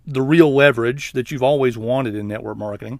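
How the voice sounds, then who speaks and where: Speaking with an Alabama accent, a man of medium pitch moves at a fairly quick pace with ordinary pitch variation. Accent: Southern US (Alabama). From Southeast Alabama, US South. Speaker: network marketing trainer. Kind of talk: webinar sales pitch. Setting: online webinar.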